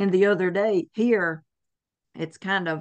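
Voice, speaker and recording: The woman's intonation stays fairly even over a quiet background. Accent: Southern US. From US South. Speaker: herbalist. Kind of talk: interview.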